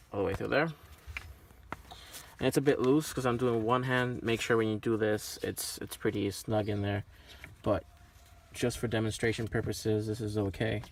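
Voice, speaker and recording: A man talks at a moderate pace with long, frequent pauses. His pitch sits in the medium range and his intonation stays fairly even. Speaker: car enthusiast vlogger. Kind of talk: tutorial. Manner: casual with filler words.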